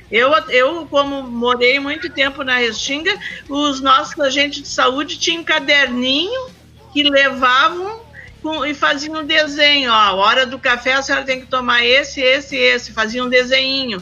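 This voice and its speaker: Against noticeable background noise, a woman with a high pitch speaks at a fairly slow pace in a raised, projected voice, her pitch varying in an ordinary way. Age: 60s. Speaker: community health council member. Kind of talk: casual chat. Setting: remote call from home.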